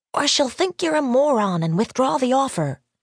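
A female-sounding put-on character voice speaks at a moderate pace with a high pitch. Hissing can be heard. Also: quiet background.

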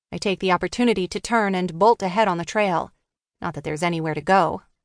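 In a plain, everyday voice, a woman speaks fairly quickly at a medium pitch with ordinary variation, the sound dry and close with no echo over a quiet background. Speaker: audiobook narrator. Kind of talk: dramatic audiobook narration, first-person teen thriller read aloud with character voices. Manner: hushed, tense and suspenseful, with wry teenage sarcasm and shifts between characters.

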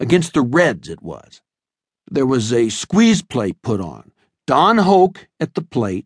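Recorded with a dry, close sound and no echo, a man with vocal fry speaks at a fairly slow pace with very wide pitch swings. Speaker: audiobook narrator. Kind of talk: audiobook narration in character, dramatic first-person storytelling.

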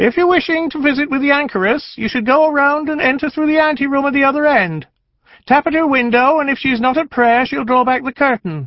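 A man uses a put-on character voice with an extremely high pitch. He moves at a fairly quick pace in a sing-song way. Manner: sing-song, oft-repeated litany.

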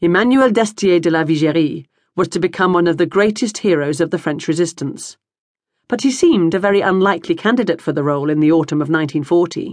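In an ordinary speaking voice, a woman talks at a fairly quick pace and a fairly low pitch, with ordinary pitch variation and very even loudness. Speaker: audiobook narrator. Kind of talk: audiobook narration. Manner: measured, even, formal storytelling pace.

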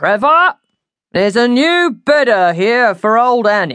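A woman's put-on character voice, fairly high and fairly bright, at a slow pace with big pitch swings.

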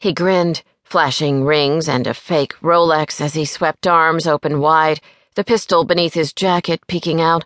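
Recorded with a dry, close sound and no echo over a quiet background, a woman speaks in a very deep, low pitch with an animated tone and very even loudness. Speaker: audiobook narrator. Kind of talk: dramatic audiobook narration, reading a crime thriller with character dialogue. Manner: animated and vivid, shifting voices for each character, with a sharp, bossy tone for West; brisk, wry storytelling pace, dry humor and an irritated edge in dialogue.

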